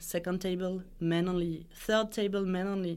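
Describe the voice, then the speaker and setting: The speaker has a French accent. The recording is very clean, with a silent background. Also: woman. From France. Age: 30s. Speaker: design executive. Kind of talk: interview. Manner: halting.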